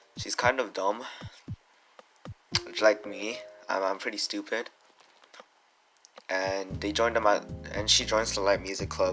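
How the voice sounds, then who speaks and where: With noticeable background noise behind him, a man speaks in a fairly low voice with fairly even intonation and long, frequent pauses. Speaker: anime reviewer. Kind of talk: unscripted video review. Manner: halting, stuttering with many fillers; casual, slangy.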